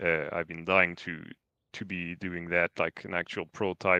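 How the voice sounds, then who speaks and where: With a French accent, a man speaks in a very deep, low pitch and a bright, sharp tone. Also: dry, close sound with no echo. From France. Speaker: game programmer. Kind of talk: casual livestream chat.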